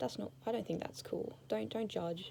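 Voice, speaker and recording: Lively in intonation, a woman speaks at a fairly slow pace with a fairly low pitch and a dark, mellow tone. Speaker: vlogger. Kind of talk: casual chat. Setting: indoors under a blanket fort. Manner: rambling, tangential.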